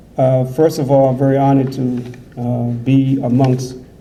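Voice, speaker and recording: In an American accent, a man speaks at a moderate pace and medium pitch with monotone, flat intonation. Audible room echo and noticeable background noise fill the recording. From USA. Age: 60s. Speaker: imam. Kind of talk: conference speech.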